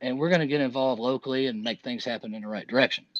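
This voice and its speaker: Heard against a quiet background in a dry, close sound with no echo, a man with a medium pitch and ordinary pitch variation has an unremarkable speaking voice. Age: 50s. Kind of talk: casual chat.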